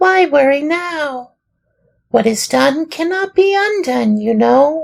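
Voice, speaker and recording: At a fairly slow pace, the speaker puts on a high-pitched character voice. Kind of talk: children's audiobook reading. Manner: sorrowful, gentle.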